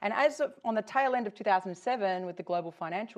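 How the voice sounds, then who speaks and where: A woman is speaking. She has an Australian accent. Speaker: tech company founder. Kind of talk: conference talk.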